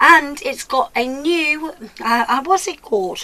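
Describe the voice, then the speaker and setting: A woman speaks in a raised, projected voice with lively intonation. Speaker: beauty vlogger. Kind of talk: product review vlog. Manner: stumbling over words.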